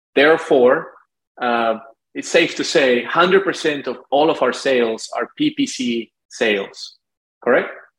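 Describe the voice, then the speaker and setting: A man talks very slowly with a Spanish accent. His pitch is fairly high for a man, with ordinary pitch variation. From Lima, Peru. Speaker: marketing agency founder. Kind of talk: interview.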